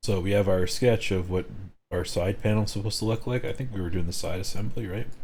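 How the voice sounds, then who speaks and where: A man speaks very fast at a fairly low pitch. His voice is somewhat breathy, with fairly even intonation. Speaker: streamer teaching 3D modelling. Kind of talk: live tutorial stream.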